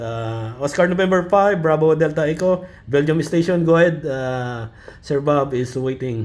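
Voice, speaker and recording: A man with a Filipino accent, fairly high in pitch, at a fairly slow pace with very wide pitch swings. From Philippines. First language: Filipino language. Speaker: ham radio net control. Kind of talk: amateur radio net chat. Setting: radio net. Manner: halting.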